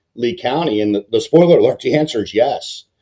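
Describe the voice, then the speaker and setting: A man with an American accent speaks in a dark, mellow tone, his fairly high pitch rising and falling with lively intonation. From Baltimore, Mid-Atlantic US. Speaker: mortgage lender, podcast host. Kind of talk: casual podcast chat.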